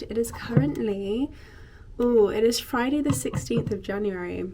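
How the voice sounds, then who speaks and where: With an English accent, a woman speaks at a fairly slow pace in an upbeat tone, her voice dark and mellow. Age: 20s. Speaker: lifestyle vlogger. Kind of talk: casual talk to camera. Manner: upbeat, chatty.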